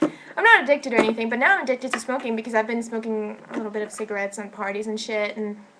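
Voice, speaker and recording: A woman talks very fast at a fairly high pitch, barely pausing at all. Her pitch varies normally, and background noise is noticeable. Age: 20s. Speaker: film school student and vlogger. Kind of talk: personal vlog monologue.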